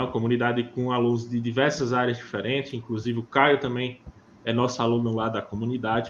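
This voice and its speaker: Speaking at a fairly quick pace, a man with a plain, everyday voice has a medium pitch. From Northeast Brazil (Pernambuco or Paraíba). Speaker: podcast host, geo-AI course creator. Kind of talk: course promotion; casual podcast chat. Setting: live video podcast.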